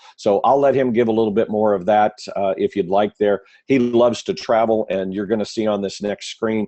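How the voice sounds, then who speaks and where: Talking at a fairly quick pace, a man uses a fairly low pitch with ordinary pitch variation. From US Midwest. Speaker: webinar organizer and trainer. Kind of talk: webinar presentation. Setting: online webinar.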